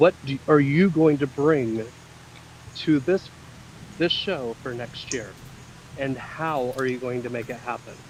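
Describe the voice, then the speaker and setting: The speech comes at a fairly slow pace with long, frequent pauses, big swings in loudness and ordinary pitch variation, over noticeable background noise. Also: man, medium pitch for a man. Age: 30s. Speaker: pageant judge, former drag performer. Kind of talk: audition interview questions.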